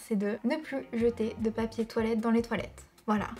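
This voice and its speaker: A woman is talking. There is light background noise behind her. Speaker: YouTuber. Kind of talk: storytelling. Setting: home video. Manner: animated; conversational. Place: home room.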